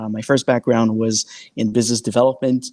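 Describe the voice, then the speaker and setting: The recording is very clean with a silent background. A man speaks in a French-Canadian accent. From Quebec. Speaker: sales engineer. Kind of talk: panel discussion. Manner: hesitant, many fillers.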